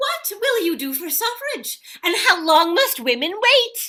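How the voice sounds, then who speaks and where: A woman uses a squeaky, put-on character voice at an extremely high pitch and a fairly slow pace. Very wide pitch swings and big swings in loudness run through it. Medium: comedy sketch. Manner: earnest, upbeat.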